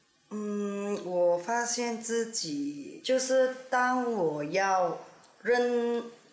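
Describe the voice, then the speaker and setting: A woman talks at a very slow pace in a fairly high voice, her intonation lively. The room echoes audibly, and background noise is noticeable. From Ipoh, Perak, Malaysia. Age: 40s. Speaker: guest. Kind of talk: casual chat.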